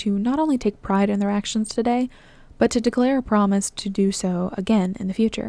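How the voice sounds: Natural voice, used for reading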